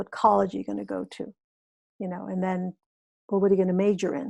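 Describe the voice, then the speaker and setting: The woman's medium-pitched voice sounds dry and close, with no echo. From US Midwest, Waukegan, Illinois (Mexican immigrant family). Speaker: actress. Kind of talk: interview. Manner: halting.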